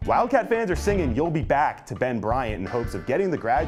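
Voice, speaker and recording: Over music in the background, a man speaks in an upbeat tone at a fairly quick pace. His pitch swings very widely. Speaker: sports broadcaster. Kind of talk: TV hosting, sports betting segment.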